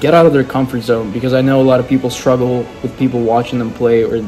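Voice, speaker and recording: Clear music plays behind a man as he talks. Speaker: musician vlogger. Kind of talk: casual vlog chat. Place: home room. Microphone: phone near.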